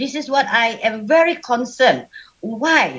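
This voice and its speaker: Loud and high-pitched, a woman speaks in a Sabah accent with ordinary pitch variation. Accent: Malaysian (Sabah) English. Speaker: women's business advocate, panel speaker. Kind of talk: panel discussion talk.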